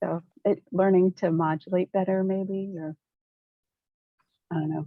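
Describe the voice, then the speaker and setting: Soft-spoken, a woman talks at a fairly slow pace and medium pitch. Her intonation is monotone and flat. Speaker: trainee facilitator. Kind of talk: group discussion.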